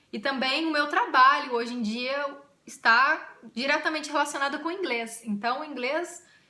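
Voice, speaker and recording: A woman with a high pitch uses a raised, projected voice and an animated tone, her lively intonation moving at a moderate pace amid audible room echo. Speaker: YouTuber. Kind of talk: casual vlog.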